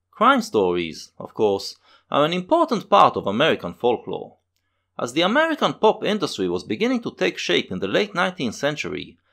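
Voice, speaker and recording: A man talking at a fairly quick pace on a very clean recording with a silent background. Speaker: video essayist. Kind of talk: scripted narration. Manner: fast.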